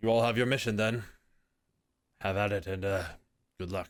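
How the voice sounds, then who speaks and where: A man puts on a raspy character voice, fairly low in pitch, talking at a fairly quick pace with fairly even intonation on a very clean recording with a silent background. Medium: actual play.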